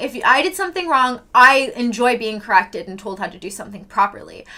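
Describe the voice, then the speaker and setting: A woman's raised, projected voice, high in pitch and animated in tone, with very wide pitch swings at a moderate pace. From Canada, Vancouver Island. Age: 20s. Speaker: livestreamer. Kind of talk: casual chat. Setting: live stream.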